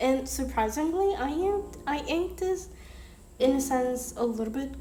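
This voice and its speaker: A woman speaks fairly slowly in a high voice with lively intonation. Audible room echo and noticeable background noise surround her. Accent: Spanish. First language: Spanish. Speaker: art youtuber. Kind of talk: casual commentary over drawing video. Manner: halting, many fillers.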